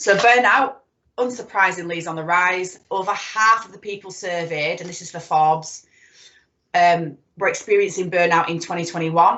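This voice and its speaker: Loudness swings widely as a woman with a fairly low pitch speaks at a moderate pace. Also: ordinary pitch variation. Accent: Yorkshire. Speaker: psychotherapist. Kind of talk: presentation.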